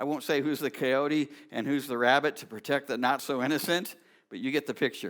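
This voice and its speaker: On a very clean recording with a silent background, a man with a fairly high voice speaks at a fairly quick pace with fairly even intonation. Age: 60s. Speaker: pastor. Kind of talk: sermon. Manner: halting.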